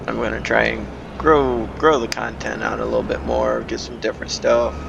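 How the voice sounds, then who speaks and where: Noticeable background noise and audible room echo surround the recording. A man talks at a moderate pace. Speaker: gaming YouTuber. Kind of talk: gameplay commentary. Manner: casual, hesitant with fillers.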